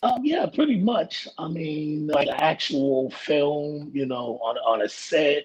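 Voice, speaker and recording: This man's fairly high voice shows ordinary pitch variation. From New York City (Brooklyn). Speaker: actor and substance use counselor. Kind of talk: casual interview chat.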